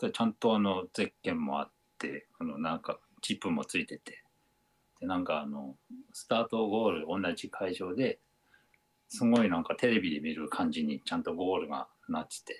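A man's moderate-paced speech, dry and close-sounding with no echo. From Japan, Aomori. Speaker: amateur runner and tempura chef. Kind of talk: casual interview. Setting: video call.

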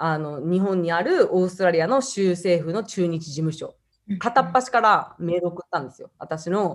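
Against a quiet background, a woman with an ordinary speaking voice talks at a moderate pace, her fairly low pitch varying in an ordinary way. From Japan (Hiroshima and Osaka), time in Australia. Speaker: YouTuber from a large family. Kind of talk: interview.

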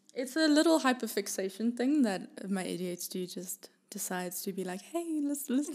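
A woman talks in a high pitch with very wide pitch swings. She leaves hardly any pauses. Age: 20s. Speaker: singer-songwriter and producer. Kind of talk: casual chat.

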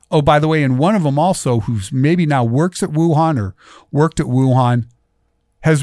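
A plain, everyday voice from a man with a fairly high pitch, ordinary pitch variation and a fairly quick pace, in a very clean recording with a silent background. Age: 50s. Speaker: radio talk show host. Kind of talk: political talk radio monologue. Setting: radio studio.

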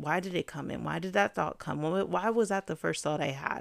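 In a normal speaking voice, a woman talks at a fairly low pitch with ordinary pitch variation, in a very clean recording with a silent background. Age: 20s. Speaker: podcast host, counselor in training. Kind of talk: solo podcast monologue on mental health. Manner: casual, conversational.

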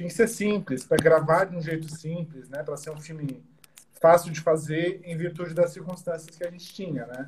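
Over noticeable background noise, a man with a high pitch talks at a moderate pace, his intonation fairly even and his loudness swinging widely. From Brazil, São Paulo. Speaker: filmmaker, former journalist. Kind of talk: casual online interview. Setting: video call.

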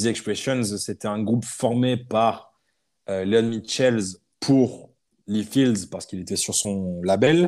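The man's pitch is medium, with ordinary variation. He talks at a very slow pace. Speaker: podcast host. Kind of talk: casual chat. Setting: remote recording. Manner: animated.

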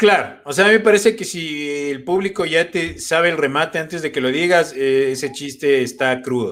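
A man talks at a fairly high pitch and a moderate pace, with ordinary pitch variation, in a plain, everyday voice. The recording is very clean, with a silent background. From Ecuador. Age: 30s. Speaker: comedian. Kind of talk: casual chat.

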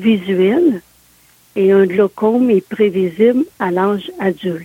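Speaking at a very slow pace, a woman of medium pitch and ordinary pitch variation sounds dry and close with no echo, with noticeable background noise behind her. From Quebec, Côte-de-Beaupré near Quebec City. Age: 60s. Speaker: interviewee with visual impairment. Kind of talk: interview.

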